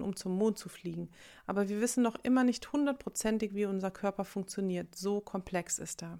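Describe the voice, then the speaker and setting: A woman's normal speaking voice at medium pitch, with fairly even intonation, on a very clean recording against a silent background. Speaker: meditation guide. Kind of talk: guided meditation. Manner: slow, calm, soothing; gentle, reflective, warmly intimate.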